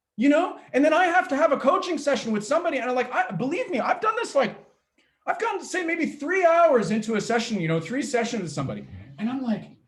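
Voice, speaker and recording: A loud, very fast man's voice at an extremely high pitch, with very wide pitch swings. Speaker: pitch coach. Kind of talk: workshop talk. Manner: high energy.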